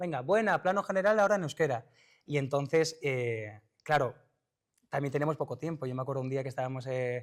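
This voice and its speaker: In a Basque accent, a man speaks at a fairly quick pace and a fairly high pitch. The recording is very clean, with a silent background. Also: ordinary pitch variation. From Basque Country. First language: Basque (speaking Spanish). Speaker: actor. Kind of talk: interview. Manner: halting.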